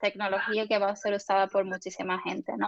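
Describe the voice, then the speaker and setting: The woman's voice sounds dry and close, without any echo. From Spain. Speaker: UX designer and researcher. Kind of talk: guest lecture. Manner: hesitant, many fillers.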